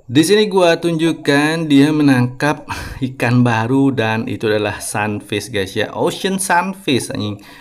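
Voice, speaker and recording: A man speaks at a fairly slow pace in a fairly high voice with lively intonation. Noticeable background noise runs underneath. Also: hardly any pauses. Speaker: gaming YouTuber. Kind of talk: gameplay commentary. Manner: casual, chatty.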